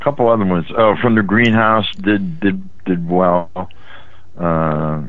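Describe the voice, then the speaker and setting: A man's fairly low voice, fairly slow and with lively intonation, amid noticeable background noise and audible room echo. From West Virginia (Weirton area). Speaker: rock musician and songwriter. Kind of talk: interview. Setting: phone call.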